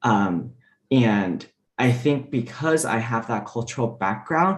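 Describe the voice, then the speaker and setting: Here a man talks in a Mandarin accent at a medium pitch. His pace is moderate. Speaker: diplomat. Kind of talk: panel discussion.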